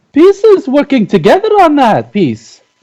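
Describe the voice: A put-on character voice with a dark, mellow tone, moving at a fairly slow pace through very wide pitch swings.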